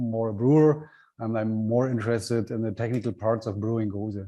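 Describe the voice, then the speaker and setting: A man with a German accent, a dark, mellow tone and a moderate pace. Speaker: brewer. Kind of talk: online workshop tasting talk. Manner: halting.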